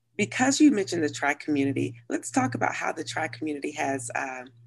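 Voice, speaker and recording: Talking at a moderate pace, a woman has a very deep, low pitch, vocal fry and ordinary pitch variation. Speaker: podcast host. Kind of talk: podcast interview host.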